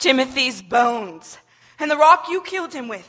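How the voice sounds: A woman puts on a character voice with a high pitch and a bright, sharp tone. Her intonation is lively and her pace fairly slow.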